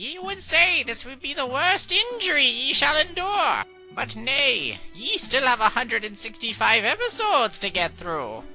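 Over clear music in the background, a woman speaks at a fairly slow pace in a high voice. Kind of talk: archaic speech, comic overacting. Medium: fan dub.

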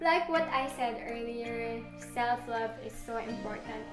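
A woman's voice with ordinary pitch variation and music in the background. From Philippines. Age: 20s. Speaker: lifestyle vlogger. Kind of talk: casual talk to camera. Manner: chatty. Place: home room. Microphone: camera far.

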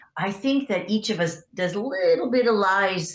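Audible room echo hangs around this woman's voice. Her pitch varies in an ordinary way. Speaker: guest. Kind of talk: interview answer. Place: home room.

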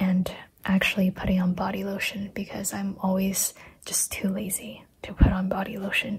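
The voice is soft-spoken. Noticeable background noise is present. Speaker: planner youtuber and small shop owner. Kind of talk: casual chat. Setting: at home. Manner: soft-spoken, talking quietly.

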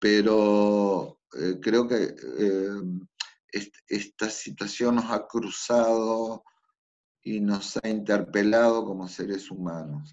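Over a quiet background, a man talks very slowly at a fairly low pitch, his intonation fairly even. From Buenos Aires, Argentina; Argentina. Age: 50s. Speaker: figure skating coach. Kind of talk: interview. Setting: remote call. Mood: calm, reflective. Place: home room. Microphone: video call.

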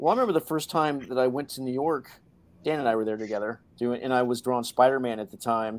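A man speaks in a plain, everyday voice at medium pitch. His pace is fairly quick. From Hawaii and Florida. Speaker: comic book artist. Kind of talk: casual chat.

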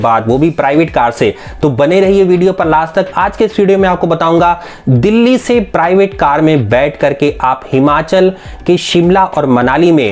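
With lively intonation and a high pitch, a man speaks at a fairly slow pace. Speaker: travel channel host. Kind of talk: promotional vlog intro. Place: home room.

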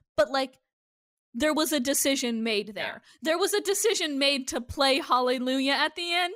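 The voice has an American accent and lively intonation at a moderate pace. Its loudness swings a lot. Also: woman, high pitch for a woman. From Iowa, US Midwest. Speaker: podcast co-host. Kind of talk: casual chat.

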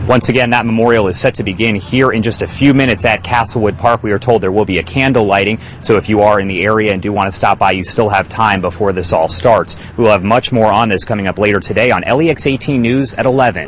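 Over light background noise, a man with a fairly low voice talks at a very fast pace with hardly any pauses and ordinary pitch variation. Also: dry sound with no echo. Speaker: TV news reporter. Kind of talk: TV news reporter delivery. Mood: somber, measured. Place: open country. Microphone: handheld.

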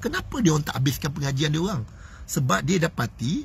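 With an animated tone and vocal fry, a man speaks at a moderate pace in a dry recording with no echo. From Malaysia. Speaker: motivational speaker and business coach; motivational speaker, business coach. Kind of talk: live-stream motivational talk. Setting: Facebook live stream. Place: car. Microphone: phone near.

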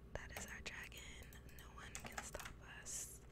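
At a fairly slow pace, the woman gets her words out. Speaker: ASMR streamer / gamer. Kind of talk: ASMR gameplay commentary. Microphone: studio mic.

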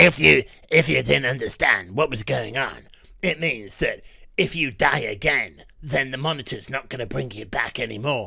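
Using a put-on character voice, a man growls at a moderate pace and a medium pitch. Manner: gruff.

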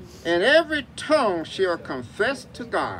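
A very slow pace over light background noise. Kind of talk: graveside sermon with scripture reading. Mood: solemn, measured. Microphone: camera far.

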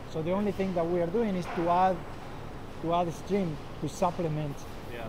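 A man with a high pitch speaks against noticeable background noise. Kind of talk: interview answer. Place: factory. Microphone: lapel.

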